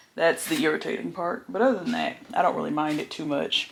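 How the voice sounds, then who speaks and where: Noticeable noise sits in the background. A woman talks over it. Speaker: vlogger. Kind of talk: casual vlog chat. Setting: home office, self-filmed. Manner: chatty, casual.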